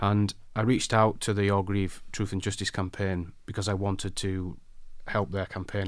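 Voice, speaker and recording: Very deep and low, a man's voice carries a South Yorkshire accent. The recording is very clean, with a silent background. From northern England, Barnsley, South Yorkshire. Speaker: designer and campaigner. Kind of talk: interview.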